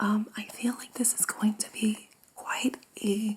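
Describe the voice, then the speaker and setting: Soft-spoken and fairly high-pitched, a woman talks in a flat monotone over noticeable background noise. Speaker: tarot reader and energy healer. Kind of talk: ASMR tarot reading.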